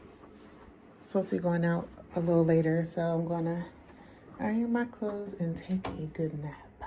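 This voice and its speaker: A woman talks at a fairly slow pace, her voice somewhat breathy with a dark, mellow tone. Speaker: planner and journaling vlogger. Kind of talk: casual travel vlog voiceover.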